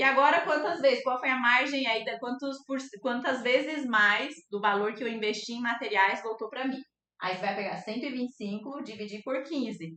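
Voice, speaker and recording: Her high-pitched voice carries ordinary pitch variation as the woman talks. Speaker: art teacher and fluid art painter. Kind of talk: live online class. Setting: livestream.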